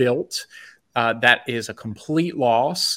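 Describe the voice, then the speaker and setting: A man with a Mid-Atlantic US accent and medium pitch, in a dry, close sound with no echo. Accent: American Mid-Atlantic. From Maryland, US (Bethesda, DC area). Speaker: food entrepreneur. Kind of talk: interview.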